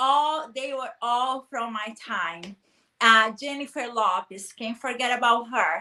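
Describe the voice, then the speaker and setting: The voice has a bright, sharp tone and ordinary pitch variation. It moves at a very slow pace. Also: woman, high pitch for a woman. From Brazil, small town. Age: 30s. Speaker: guest speaker on personal development. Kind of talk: interview chat.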